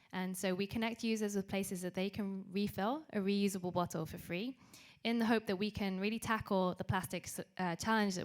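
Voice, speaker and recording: On a very clean recording with a silent background, a woman with a British accent speaks at a fairly quick pace. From UK. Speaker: startup co-founder. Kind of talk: panel introduction.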